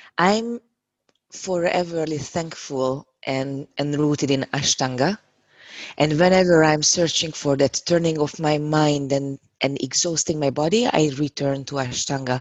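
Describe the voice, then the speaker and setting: In a Hungarian accent, a woman with a very deep, low pitch speaks at a fairly slow pace with ordinary pitch variation. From Hungary. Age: 30s. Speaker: yoga teacher. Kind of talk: casual interview.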